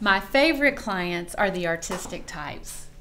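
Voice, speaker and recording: With a Southern US accent, a woman speaks at a fairly slow pace in a bright, sharp tone with very wide pitch swings. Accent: Southern US (Georgia). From US South, Atlanta, Georgia. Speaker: professional organizer. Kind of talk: promotional self-introduction.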